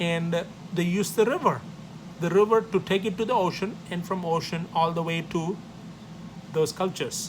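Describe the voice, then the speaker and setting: In a South Indian accent, a man with a high pitch speaks at a moderate pace with fairly even intonation and long, frequent pauses, and the room echo is audible. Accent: South Indian (Tamil) English. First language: Tamil. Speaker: professor. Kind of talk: lecture.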